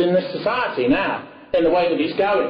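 A man with an English accent and a high pitch talks at a fairly quick pace with lively intonation over noticeable background noise. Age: 40s. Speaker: political speaker. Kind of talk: lecture. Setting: stage with audience.

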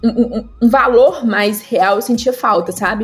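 The woman's voice has ordinary pitch variation. Noticeable background noise can be heard. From Goiás, Brazil (Goiânia). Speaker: entrepreneur and career specialist. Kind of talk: interview.

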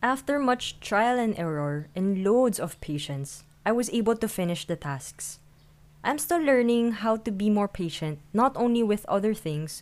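This woman talks at a fairly slow pace with lively intonation. She has a normal speaking voice. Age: 20s. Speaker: podcast host and freelancer. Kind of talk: solo podcast monologue.

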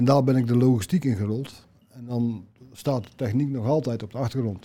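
Dark and mellow in tone, a man speaks at medium pitch with ordinary pitch variation. He keeps a moderate pace. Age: 60s. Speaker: job seeker. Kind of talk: interview.

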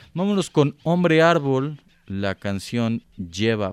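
With a Mexico City accent, a man talks in very wide pitch swings, captured in a dry, close sound with no echo. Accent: Mexico City, sing-song with drawn-out endings. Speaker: radio music show host. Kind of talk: casual radio chat. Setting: remote recording from home.

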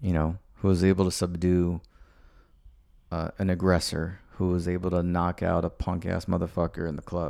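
With monotone, flat intonation, a man talks in a very deep, low pitch. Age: 30s. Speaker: podcast host. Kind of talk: casual chat. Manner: halting.

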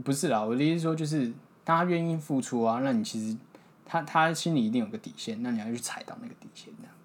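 Speaking very fast in a Taiwanese accent, a man with a fairly high pitch makes very wide pitch swings and big swings in loudness. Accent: Taiwanese Mandarin. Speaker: podcast host learning Hakka. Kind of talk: casual chat.

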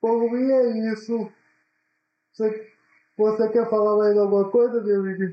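A man speaks in a high pitch with monotone, flat intonation and very even loudness. His pace is fairly slow, with long, frequent pauses. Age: 20s. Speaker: university student, podcast co-host. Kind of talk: casual chat.

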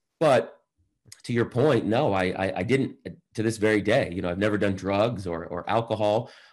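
A man with an unremarkable speaking voice and a fairly low pitch talks at a moderate pace with ordinary pitch variation. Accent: American. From Boston. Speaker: entrepreneur and motivational speaker. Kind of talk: interview.

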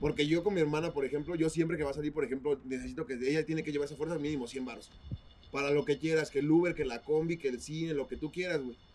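A man rattles off words very fast in fairly even intonation while music plays behind him. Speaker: podcast co-host. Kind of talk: casual chat.

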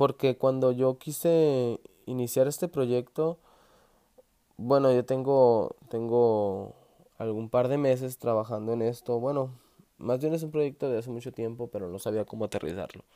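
The man's dark, mellow voice sits at medium pitch, moving at a fairly slow pace with ordinary pitch variation. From Mexico, Sonora. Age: 20s. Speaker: podcaster. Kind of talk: motivational monologue. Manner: halting.

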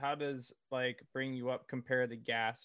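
An ordinary speaking voice from a man with an American accent, medium in pitch. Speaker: podcast host. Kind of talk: casual interview chat.

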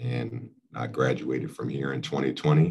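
Intonation stays fairly even as a man talks in an American accent. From Philadelphia, Pennsylvania, US. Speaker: navy veteran and college outreach director. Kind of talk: casual chat.

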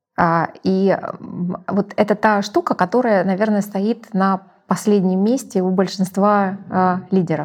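Speaking at a very slow pace, a woman of medium pitch keeps her intonation fairly even. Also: very even loudness. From Russia. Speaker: company executive. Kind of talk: interview.

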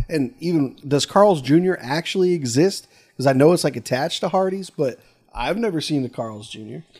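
A man speaks at a fairly quick pace in an unremarkable speaking voice, his pitch fairly high and his intonation lively, on a very clean recording with a silent background. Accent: American. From Pennsylvania (Williamsport). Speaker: guest. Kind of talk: casual chat. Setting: in a garage.

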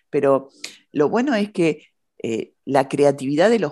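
With a dark, mellow tone and very wide pitch swings, a woman speaks at a fairly slow pace on a very clean recording with a silent background. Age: 50s. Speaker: podcast host. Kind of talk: casual interview chat.

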